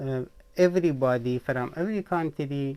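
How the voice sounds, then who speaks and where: This man has a dark, mellow tone, a fairly high pitch, ordinary pitch variation and a Persian accent. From Iran. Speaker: author and vlogger. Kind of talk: personal vlog monologue. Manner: halting.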